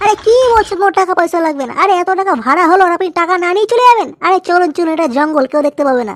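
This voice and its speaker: A cartoonish character voice is heard here. It moves at a very fast pace. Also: woman, extremely high pitch for a woman. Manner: pushy, casual.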